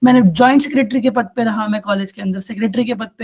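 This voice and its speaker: A man's high-pitched voice, fairly even in intonation, at a moderate pace. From Delhi, India. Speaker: law student speaker. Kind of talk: public talk.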